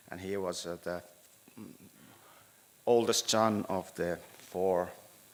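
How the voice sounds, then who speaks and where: This man speaks in a Finnish accent at a fairly low pitch. His pace is very slow and his intonation fairly even. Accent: Finnish accent, rusty English. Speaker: city planning architect. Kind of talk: presentation at a meeting. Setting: town hall meeting room. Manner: halting, many hesitations.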